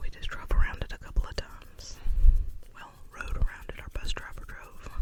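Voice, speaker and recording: Whispering at a fairly quick pace, a woman talks over noticeable background noise. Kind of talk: ASMR whispered rambling to camera. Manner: whispered, soft-spoken.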